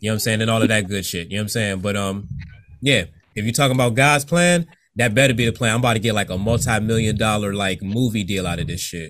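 A man at a fairly low pitch with ordinary pitch variation and a very fast pace, on a very clean recording with a silent background. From Virginia Beach, US. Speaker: podcast host. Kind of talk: casual interview. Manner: laid back.

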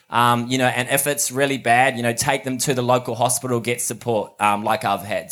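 Bright and sharp in tone, a man speaks at a medium pitch with a New Zealand accent. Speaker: mental health charity founder. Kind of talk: talk to a live audience. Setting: outdoors in front of a live audience.

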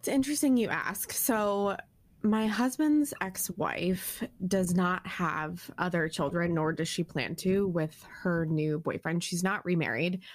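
In a plain, everyday voice, a woman speaks at a medium pitch and a fairly slow pace with lively intonation. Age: 30s. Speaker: podcast co-host, stepmom. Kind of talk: casual chat.

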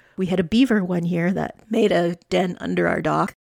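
A woman with an unremarkable speaking voice and a Canadian accent, fairly low in pitch at a moderate pace, in a dry, close sound with no echo on a very clean recording with a silent background. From Canadian prairies, Alberta. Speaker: podcast host. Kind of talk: solo monologue. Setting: home studio.

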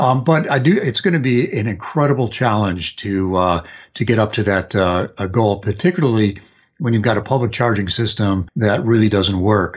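This man has an American accent, a fairly low pitch and a somewhat breathy sound, talking at a moderate pace with lively intonation. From US Midwest, Chicago area. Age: 60s. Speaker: journalist. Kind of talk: casual interview. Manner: hesitant, many fillers.

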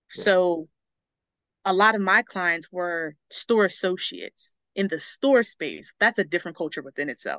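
In an American accent, a woman talks at a moderate pace with a bright, sharp tone, medium pitch and ordinary pitch variation, recorded with a dry, close sound and no echo. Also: quiet background. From US Northeast, Philadelphia area. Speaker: public speaker and storytelling coach. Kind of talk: podcast interview. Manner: animated.

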